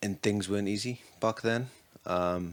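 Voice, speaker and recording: A man with a Geordie accent, fairly low in pitch, with fairly even intonation. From Newcastle, North East England. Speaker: recovering addict. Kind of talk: podcast interview.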